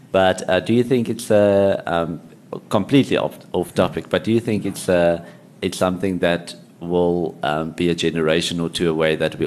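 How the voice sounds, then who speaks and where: At a moderate pace and with ordinary pitch variation, a man with a very deep, low pitch speaks over noticeable background noise. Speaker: podcast host. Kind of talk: interview.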